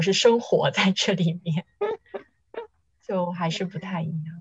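With lively intonation, a woman speaks in a somewhat breathy voice of medium pitch. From Shenzhen, Guangdong. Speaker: podcast co-host. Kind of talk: casual chat.

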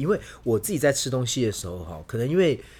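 In a very clean recording with a silent background, a somewhat breathy voice speaks at a very fast pace with very wide pitch swings. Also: man. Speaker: Spain travel and food expert. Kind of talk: casual chat.

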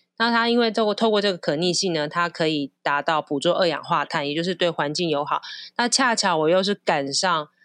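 Over a quiet background, a woman talks at a fairly quick pace with ordinary pitch variation, the sound dry and close with no echo. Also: fairly low pitch for a woman. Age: 40s. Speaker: flight attendant and designer. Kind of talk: casual chat. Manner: animated.

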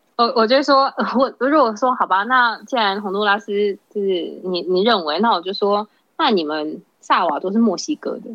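This is a normal speaking voice. It moves at a moderate pace with lively intonation. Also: woman, medium pitch for a woman. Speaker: hotel worker. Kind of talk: casual chat.

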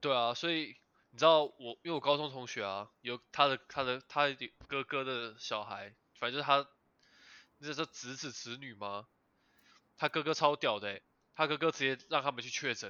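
At a moderate pace, a man speaks at a medium pitch with ordinary pitch variation, big swings in loudness and long, frequent pauses. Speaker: podcast host. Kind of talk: casual chat. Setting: online remote recording.

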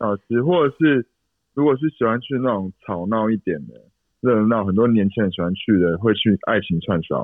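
Here a man speaks with a fairly low voice at a moderate pace. His intonation is lively. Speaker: salesperson, dating show contestant. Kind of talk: casual chat.

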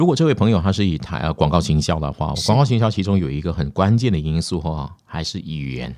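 A man's very fast, lively delivery with hardly any pauses, very deep and low in pitch, dark and mellow in tone, with vocal fry. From Malaysia. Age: 50s. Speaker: news anchor. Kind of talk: casual interview. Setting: studio.

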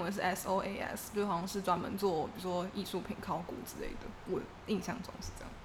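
A woman talking at a fairly quick pace, with audible room echo and noticeable background noise. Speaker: graduate student abroad. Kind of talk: casual chat.

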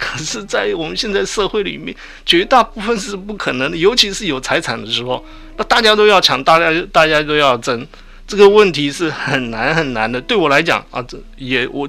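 The delivery comes at a moderate speed. Its pitch leaps very widely up and down. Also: man, high pitch for a man. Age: 60s. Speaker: retired veteran, sexology doctoral student. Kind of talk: radio interview. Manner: halting.

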